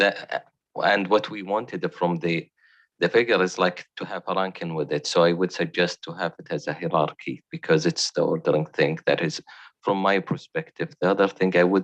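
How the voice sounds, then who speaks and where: A man with a non-native accent and a very deep, low pitch speaks at a moderate pace with very wide pitch swings, the sound dry and close with no echo and the background quiet. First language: not English. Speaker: board member. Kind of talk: formal board meeting discussion.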